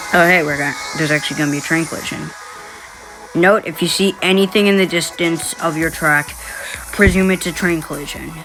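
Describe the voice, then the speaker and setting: Long, frequent pauses break up the speech. Music plays in the background. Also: fairly quick pace. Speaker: gaming video creator. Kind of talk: gameplay commentary. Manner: halting, self-correcting.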